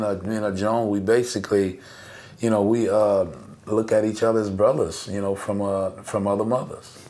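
Audible room echo and noticeable background noise surround a man speaking at a moderate pace. His fairly low voice is monotone and flat. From US South, New Orleans. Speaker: bass player. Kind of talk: casual interview chat.

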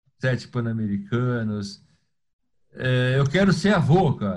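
A man talks at a medium pitch and a fairly slow pace. His voice is somewhat breathy, with lively intonation. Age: 60s. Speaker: sports journalist. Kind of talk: interview.

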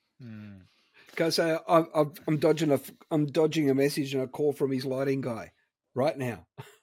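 Speaking in an Australian accent, a man with fairly high pitch and ordinary pitch variation keeps a moderate pace, with big swings in loudness and long, frequent pauses. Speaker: co-host, guitarist. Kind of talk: casual banter.

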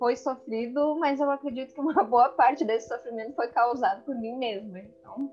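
Speech at a moderate pace runs along with hardly any pauses. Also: woman, high pitch for a woman, ordinary pitch variation. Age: 30s. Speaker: friend of the host. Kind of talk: casual chat.

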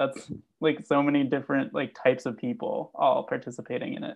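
A man at a fairly quick pace. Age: 20s. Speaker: music fan, hyperpop enthusiast. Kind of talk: casual chat. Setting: video call.

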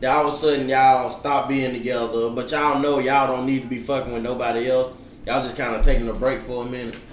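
A man's medium-pitched, monotone, flat voice at a very fast pace with hardly any pauses, with noticeable background noise and audible room echo. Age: 20s. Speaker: podcast co-host. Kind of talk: casual chat.

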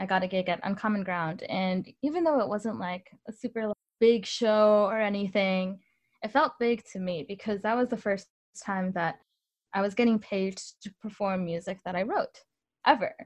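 A woman's unremarkable speaking voice with an American accent, medium in pitch, at a moderate pace, with ordinary pitch variation against a quiet background. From Northern Illinois. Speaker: musician. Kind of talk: interview.

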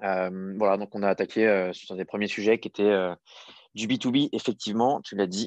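A man speaks in a normal speaking voice at a fairly low pitch, fairly slow and with fairly even intonation. The sound is dry and close with no echo, over a quiet background. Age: 30s. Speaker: startup founder and CEO. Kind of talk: interview.

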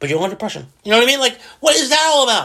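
A man's raised, projected voice, bright and sharp in tone and animated, on a very clean recording with a silent background. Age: 40s. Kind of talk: casual solo monologue. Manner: halting, repeats words.

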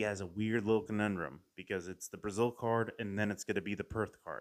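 A man with a normal speaking voice talks at a moderate pace in a fairly low pitch. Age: 30s. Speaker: MMA podcast host. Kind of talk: casual solo commentary.

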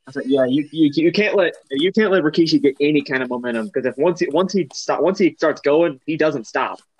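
An unremarkable speaking voice moves at a fairly quick pace with hardly any pauses. Its pitch variation is ordinary. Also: man, fairly high pitch for a man. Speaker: co-commentator, co-host. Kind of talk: wrestling watch-along commentary. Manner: casual, bantering, quick reactions.

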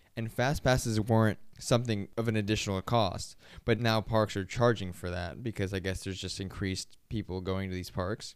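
A man with an American accent and an unremarkable speaking voice talks fairly quickly at a fairly low pitch with fairly even intonation and hardly any pauses, in a very clean recording with a silent background. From Florida. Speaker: podcast co-host. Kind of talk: casual chat.

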